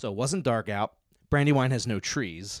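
A man with an American accent, medium in pitch with ordinary pitch variation, at a moderate pace, on a very clean recording with a silent background. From Philadelphia suburbs, US. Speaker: disc golf pro. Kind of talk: casual chat.

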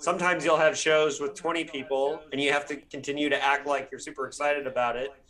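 Speaking very fast with hardly any pauses, a man with an American accent holds a monotone, flat intonation at a fairly high pitch, and noticeable background noise can be heard. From Bloomington, Indiana, US Midwest. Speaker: podcast host and novelist. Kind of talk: interview.

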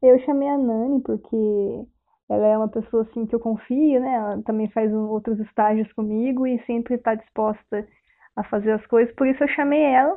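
A woman with a plain, everyday voice talks at a moderate pace, her fairly high pitch held in fairly even intonation. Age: 20s. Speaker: biology student. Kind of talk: radio interview.

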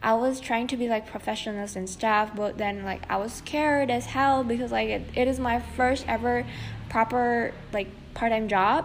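A woman speaks with a non-native accent. Her pitch is fairly high, with ordinary pitch variation. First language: not English. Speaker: podcaster. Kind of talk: casual monologue. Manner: many fillers and hesitations.

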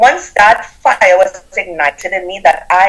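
A woman's voice with a Trinidadian accent. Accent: Caribbean, Trinidadian. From Trinidad and Tobago. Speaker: business coach and author. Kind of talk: interview, storytelling. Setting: video call, live stream.

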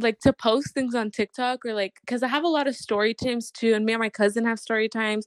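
Speaking at a very fast pace with hardly any pauses, a woman keeps her fairly high voice in fairly even intonation. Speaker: guest. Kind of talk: casual chat.

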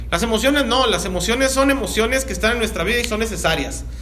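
A man's raised, projected voice at an extremely high pitch, with noticeable background noise and audible room echo. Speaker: pastor. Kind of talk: sermon.

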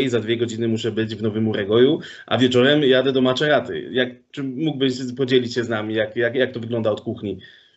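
Fairly quick and fairly even in intonation, a man talks at medium pitch. He has a normal speaking voice. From Poland, Sosnowiec. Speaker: podcast host. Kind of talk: casual interview.

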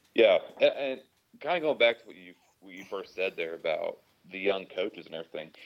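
Talking at a fairly quick pace, a man makes big swings in loudness and leaves long, frequent pauses. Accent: American. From Oklahoma, Tulsa area. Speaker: firefighter and sports writer. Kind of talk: casual chat.

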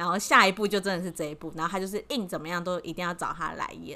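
Against a silent background in a very clean recording, a woman with a Taiwanese accent speaks in a bright, sharp tone. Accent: Taiwanese Mandarin. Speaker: podcast co-host. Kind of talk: casual chat.

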